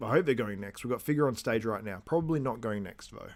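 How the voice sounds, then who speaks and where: A man with a strong Australian accent and ordinary pitch variation. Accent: broad Australian. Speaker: bodybuilding commentator. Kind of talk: live stream watchalong commentary. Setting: live stream.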